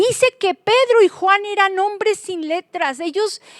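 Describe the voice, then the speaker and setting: The speaker talks at a fairly slow pace with lively intonation and an animated tone. The sound is dry and close, with no echo. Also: woman. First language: Swiss German (speaking Spanish). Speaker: Bible teacher and author. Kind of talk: Bible study teaching.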